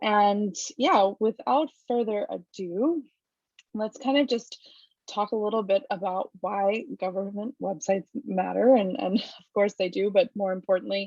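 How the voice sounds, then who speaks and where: At a fairly slow pace, a woman with an unremarkable speaking voice and an American accent speaks at a medium pitch with ordinary pitch variation in a dry, close sound with no echo. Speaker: webinar panelist, govtech company staff. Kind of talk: webinar presentation.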